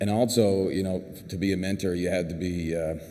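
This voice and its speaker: This man has a Newfoundland accent and a very deep, low pitch, with a dark, mellow tone. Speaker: clinical pharmacist, award recipient. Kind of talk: award acceptance speech. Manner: fast.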